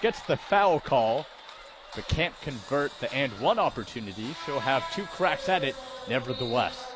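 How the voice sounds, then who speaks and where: A man's fairly high voice swings very widely in pitch at a moderate pace, with noticeable background noise behind it. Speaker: sports play-by-play broadcaster. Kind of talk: live sports play-by-play commentary. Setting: arena broadcast.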